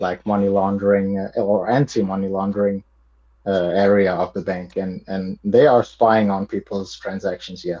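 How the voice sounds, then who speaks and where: A man with a non-native accent talks at a moderate pace in a fairly low voice. His intonation is monotone and flat. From Montenegro. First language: not English. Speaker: podcast guest, crypto enthusiast. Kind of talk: casual chat. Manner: halting, many repetitions.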